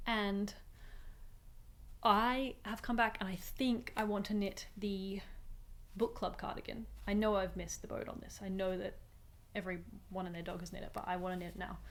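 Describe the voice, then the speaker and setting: Her intonation fairly even and her loudness swinging widely, a woman speaks at a moderate pace in a medium pitch with long, frequent pauses and audible room echo. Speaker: knitting podcaster. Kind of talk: casual chat.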